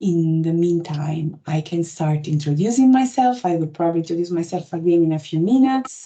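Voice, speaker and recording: A woman with an Italian accent speaks at a fairly quick pace and fairly low pitch, with lively intonation and hardly any pauses. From Italy. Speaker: patient experience lead for a health app. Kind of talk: webinar presentation. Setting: online webinar.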